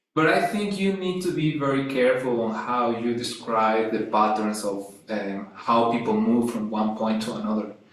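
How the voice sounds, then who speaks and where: A man with a Spanish accent speaks at a moderate pace with hardly any pauses, his medium pitch varying in an ordinary way. Room echo is audible, and background noise is noticeable. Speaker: academic philosopher. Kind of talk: academic discussion. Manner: halting.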